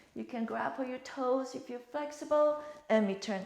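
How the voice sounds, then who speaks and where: A woman's high voice in a calm tone, with ordinary pitch variation and a moderate pace, amid noticeable background noise and audible room echo. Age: 60s. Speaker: fitness instructor. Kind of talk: exercise tutorial. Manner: calm, instructive with breathing cues.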